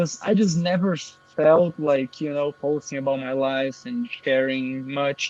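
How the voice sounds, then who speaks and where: At a moderate pace, a man with a fairly high pitch talks with fairly even intonation, the sound dry and close with no echo. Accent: Portuguese. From Brazil. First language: Portuguese. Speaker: affiliate marketer. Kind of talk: interview.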